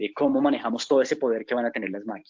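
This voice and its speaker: A man with a medium pitch races along at a very fast pace, his intonation fairly even. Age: 40s. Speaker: business consultant. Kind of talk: lecture. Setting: webinar. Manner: halting.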